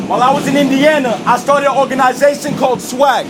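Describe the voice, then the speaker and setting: Over noticeable background noise, a man talks at a very fast pace. His pitch is extremely high, and he has an American accent. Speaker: spoken word poet. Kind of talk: spoken word performance. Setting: subway car. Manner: loud.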